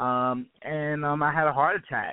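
A man with an American accent and an unremarkable speaking voice talks at a fairly high pitch with fairly even intonation. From Brooklyn, New York. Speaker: health and wellness expert. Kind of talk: casual interview.

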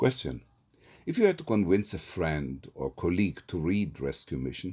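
Vocal fry runs through this moderately paced speech in an Israeli accent. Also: man, very clean recording, silent background. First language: Hebrew. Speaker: poet and theatre professor. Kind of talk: poetry reading and self-interview. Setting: solo recording.

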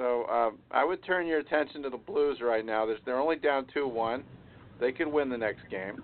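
This man has an ordinary speaking voice, medium in pitch with ordinary pitch variation, and speaks at a moderate pace. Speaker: radio show host. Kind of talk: casual sports talk show.

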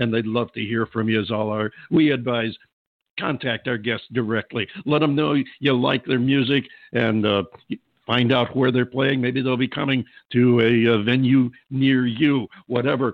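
Medium in pitch, this man has an unremarkable speaking voice. He talks at a moderate pace with fairly even intonation. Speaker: radio show host. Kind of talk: radio interview. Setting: phone call interview.

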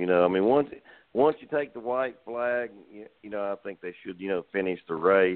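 This man has an unremarkable speaking voice, fairly low in pitch, moving at a moderate pace with ordinary pitch variation. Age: 60s. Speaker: race car driver. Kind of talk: casual interview. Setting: phone call.

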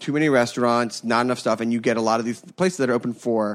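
A man speaks in a normal speaking voice with an American accent. His pitch is medium, with ordinary pitch variation. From Philadelphia, US. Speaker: food podcast host. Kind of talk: casual chat.

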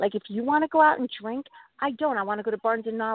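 With lively intonation and a fairly high pitch, a woman talks at a fairly quick pace in a normal speaking voice. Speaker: addiction recovery storyteller and fitness business owner. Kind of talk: personal story interview. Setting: phone call from her car.

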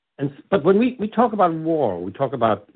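A man with a New York accent talks at a fairly quick pace, his pitch swinging very widely. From New York, Brooklyn. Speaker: deacon. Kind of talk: interview; sermon. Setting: radio show.

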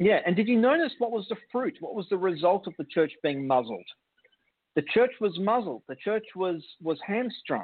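This man talks in a high voice with an Australian accent. His pitch swings very widely, and his pace is moderate. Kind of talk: casual chat.

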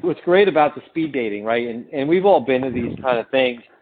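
A very fast pace and ordinary pitch variation over noticeable background noise. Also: man. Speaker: mortgage technology vendor. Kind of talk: interview.

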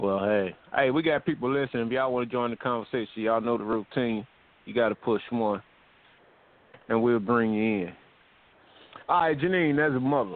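The speaker moves at a fairly quick pace but leaves long, frequent pauses. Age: 50s. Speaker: internet radio co-host. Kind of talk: casual chat. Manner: animated.

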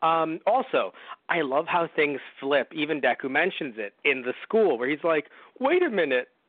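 At a moderate pace, a man speaks in an ordinary speaking voice with a fairly high pitch and lively intonation. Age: 20s. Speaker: podcast host. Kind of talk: casual chat. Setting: audio-only recording.

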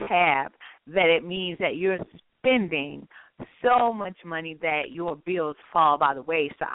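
Animated and with lively intonation, a woman speaks at a fairly low pitch. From North Carolina. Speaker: radio host. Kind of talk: casual chat.

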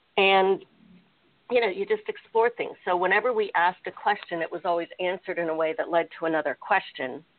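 At a fairly quick pace, a woman with an American accent speaks in a medium pitch with ordinary pitch variation and a plain, everyday voice. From United States. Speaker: innovation and strategy consultant. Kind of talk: interview.

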